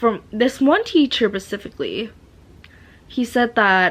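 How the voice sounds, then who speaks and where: A woman with a slight non-native accent speaks at a fairly slow pace with lively intonation in a very clean recording with a silent background. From Asia. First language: not English. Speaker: vlogger. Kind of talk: casual monologue. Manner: slurring, stuttering; halting, many fillers.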